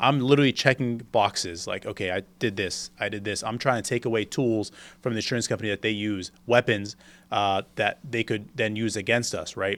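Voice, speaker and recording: A man with an American accent and a normal speaking voice, medium in pitch, fairly even in intonation, fairly quick in pace, on a very clean recording with a silent background. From US South, Florida Panhandle (Panama City). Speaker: property insurance claims lawyer. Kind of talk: casual podcast interview.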